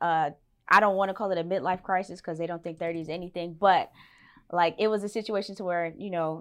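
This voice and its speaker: A woman has an unremarkable speaking voice at medium pitch with fairly even intonation. The background is quiet. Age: 30s. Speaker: teacher and videographer. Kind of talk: casual interview.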